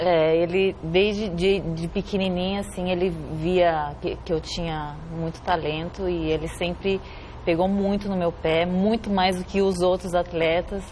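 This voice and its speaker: A woman's fairly low, monotone voice at a fairly slow pace, with flat intonation and noticeable background noise. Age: 30s. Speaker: Olympic swimmer. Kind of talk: TV interview.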